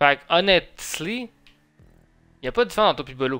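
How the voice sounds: This man talks at a fairly quick pace with lively intonation and a fairly high pitch. His tone is bright and sharp.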